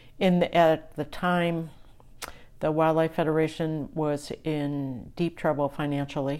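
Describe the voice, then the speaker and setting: Recorded very cleanly over a silent background, the voice moves at a fairly slow pace with a monotone, flat intonation. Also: woman, very deep, low pitch for a woman. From western New York State (Niagara River). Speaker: conservation leader. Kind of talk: interview. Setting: in person, in a rental house.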